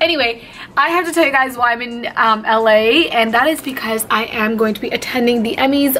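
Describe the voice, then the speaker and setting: A woman with a high pitch and ordinary pitch variation talks over light background noise. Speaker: beauty vlogger. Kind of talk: casual vlog chat. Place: home room. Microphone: phone near.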